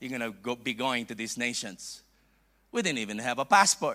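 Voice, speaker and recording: A man with a Filipino accent speaks at a moderate pace with lively intonation, in a very clean recording with a silent background. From Philippines. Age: 50s. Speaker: bishop, visiting preacher. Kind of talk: sermon. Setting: church. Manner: halting.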